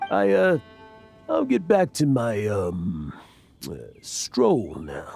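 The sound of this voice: A man puts on a character voice, dark and mellow with vocal fry and very wide pitch swings. He speaks at a very slow pace while faint music plays in the background. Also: medium pitch for a man.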